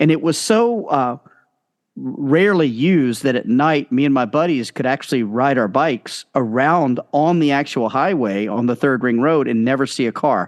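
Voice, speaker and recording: With an American accent, a man with an ordinary speaking voice talks at a moderate pace and fairly high pitch, his intonation lively and his loudness very even, in a dry, close recording with no echo and a quiet background. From United States. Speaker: educator. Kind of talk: casual chat. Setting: podcast interview.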